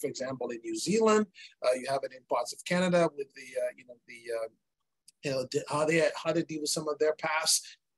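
Against a quiet background, a man with a plain, everyday voice talks at a fairly quick pace with big swings in loudness. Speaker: energy industry executive and interviewer; interviewer. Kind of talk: interview conversation. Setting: video call. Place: office.

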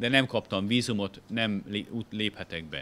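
A man speaks. His voice has vocal fry. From Hungary. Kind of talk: illustrated lecture. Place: hall. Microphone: podium.

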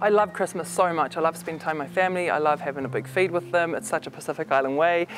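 Over light background noise, a woman with a very deep, low pitch talks at a very fast pace with ordinary pitch variation. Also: dry sound with no echo. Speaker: interviewee. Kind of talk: interview answer. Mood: warm, sincere. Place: gym.

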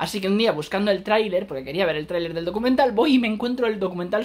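Over light background noise, a man talks at a very fast pace with very wide pitch swings. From Spain. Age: 30s. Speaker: film critic YouTuber. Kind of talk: video review monologue; casual vlog chat. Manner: casual, halting with fillers. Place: home room. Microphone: phone near.

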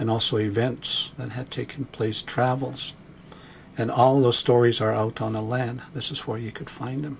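A calm, somewhat breathy voice speaks in a monotone, flat intonation. Light background noise sits underneath. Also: man, medium pitch for a man, moderate pace. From Blackfoot, Canada. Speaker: Blackfoot elder and storyteller. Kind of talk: documentary narration, reflective talk on storytelling. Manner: calm, measured, reflective. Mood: calm, reflective. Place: studio.

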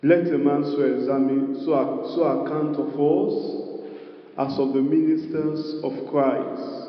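There is audible room echo as a man speaks with fairly even intonation. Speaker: preacher. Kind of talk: sermon. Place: hall. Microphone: handheld.

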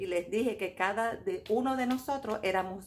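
A woman at a fairly high pitch and a very slow pace. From Venezuela, Caracas. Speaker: tarot reader and YouTuber; tarot reader. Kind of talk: casual monologue commentary. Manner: halting, many fillers and repetitions. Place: home room. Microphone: phone near.

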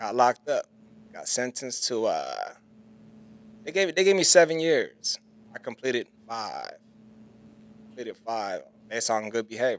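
The man talks at a moderate pace. He leaves long, frequent pauses. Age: 30s. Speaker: barber. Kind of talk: casual chat. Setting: barbershop. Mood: reflective, telling life story. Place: shop. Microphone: studio mic.

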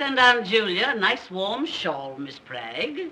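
A woman's slow put-on character voice, bright and sharp in tone, at medium pitch with big pitch swings

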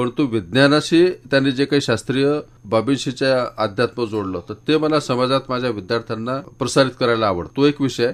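The speaker is a man with an ordinary speaking voice and medium pitch. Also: ordinary pitch variation. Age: 50s. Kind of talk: interview. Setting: radio studio.

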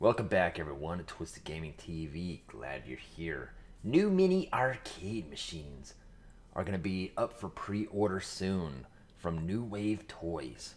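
Here a man talks with a very deep, low pitch. He uses lively intonation. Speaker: gaming channel host. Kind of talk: casual product review commentary. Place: home room.

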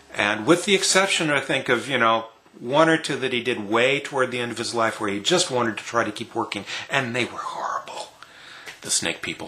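Here a man speaks at a fairly quick pace with ordinary pitch variation. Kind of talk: casual vlog chat. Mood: enthusiastic, fond. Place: home room. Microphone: webcam.

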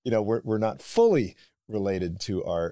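A man speaks in a fairly low, dark and mellow voice with very wide pitch swings. The background is quiet. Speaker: podcast host. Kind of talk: interview question. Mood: friendly, light laughter. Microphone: studio mic.

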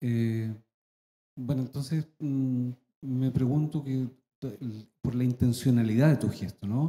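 Somewhat breathy, dark, mellow man's voice, very slow, with fairly even intonation and long, frequent pauses. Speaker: audience member. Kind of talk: audience question. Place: hall.

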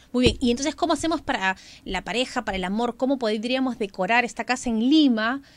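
A woman's high-pitched voice at a very fast pace, with ordinary pitch variation. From Callao, Peru; Peru. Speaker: radio co-host. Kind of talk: radio call-in show. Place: studio. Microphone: studio mic.

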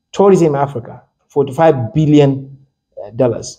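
The tone is dark and mellow, at a fairly slow pace. The background is quiet. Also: man. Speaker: lecturer. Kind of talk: lecture. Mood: lively, occasionally laughing. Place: meeting room. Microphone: handheld.

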